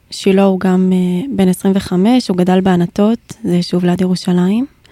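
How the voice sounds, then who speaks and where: On a dry, close recording with no echo, a woman with a medium-pitched voice talks at a fairly slow pace in a monotone, flat intonation. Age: 20s. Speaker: bereaved partner, student and army veteran. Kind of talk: personal testimony in interview.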